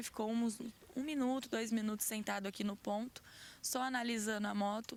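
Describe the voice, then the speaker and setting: With a normal speaking voice, a woman talks at a fairly high pitch and moderate pace, her intonation fairly even. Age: 20s. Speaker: crime victim, worker. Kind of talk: interview testimony.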